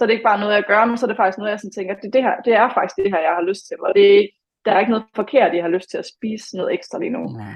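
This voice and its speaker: Speaking very fast with hardly any pauses, a woman holds a medium pitch with ordinary pitch variation. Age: 20s. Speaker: former fitness competitor. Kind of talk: podcast interview.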